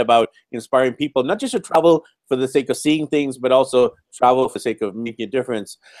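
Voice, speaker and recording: With a Canadian accent and a normal speaking voice, a man talks at a fairly quick pace at medium pitch with ordinary pitch variation, the sound dry and close with no echo. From Vancouver, Canada. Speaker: podcast host. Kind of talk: interview.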